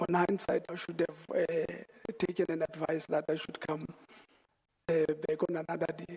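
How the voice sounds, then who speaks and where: Quiet speech comes at a moderate pace, broken by long, frequent pauses. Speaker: witness at inquiry. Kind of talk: testimony. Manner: halting.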